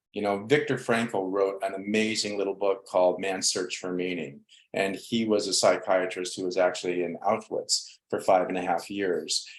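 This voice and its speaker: With hardly any pauses, a man talks at a moderate pace in an ordinary speaking voice, fairly low in pitch with fairly even intonation. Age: 60s. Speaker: spiritual counselor. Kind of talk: interview.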